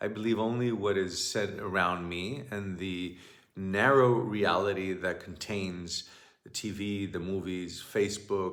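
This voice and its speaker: A man's fairly low voice with fairly even intonation, at a fairly slow pace, with audible room echo. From Greece. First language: Greek. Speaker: shamanic teacher. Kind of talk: monologue talk. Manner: halting.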